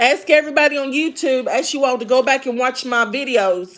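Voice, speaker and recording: Shouting loudly at a moderate pace, a woman uses a high pitch. She speaks with a Kentucky accent. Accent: Southern US (Kentucky). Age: 50s. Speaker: live streamer, author and former elderly caregiver. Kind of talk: casual live stream chat. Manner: sounds like screaming.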